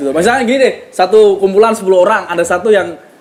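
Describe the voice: A man with a strong Javanese accent, very fast pace and lively intonation, over noticeable background noise. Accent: thick Javanese (medok) accent in Indonesian.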